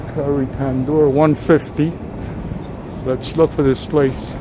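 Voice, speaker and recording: Over noticeable background noise, a man with a New York accent talks in a fairly high pitch with flat, monotone intonation. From New York City. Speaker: walking tour live streamer. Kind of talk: live stream walking tour. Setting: outdoors on city streets. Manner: casual, chatty.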